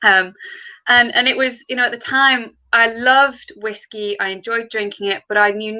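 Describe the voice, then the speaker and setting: With a Yorkshire accent, a woman speaks in a bright, sharp tone with ordinary pitch variation. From Yorkshire, northern England. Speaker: distillery co-founder. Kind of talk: interview. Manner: many filler words.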